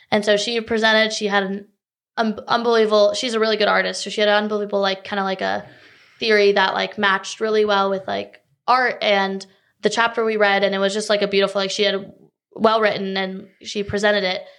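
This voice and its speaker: A woman with a North Carolina accent at a very fast pace, in a monotone, flat intonation. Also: medium pitch for a woman, quiet background. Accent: American, North Carolina. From North Carolina, Raleigh area. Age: 20s. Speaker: college tennis player. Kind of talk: interview.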